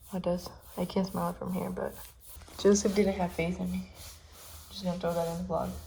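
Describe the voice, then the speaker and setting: A woman at a fairly quick pace with long, frequent pauses, over noticeable background noise. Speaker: DIY home vlogger. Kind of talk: casual vlog tutorial. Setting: at home.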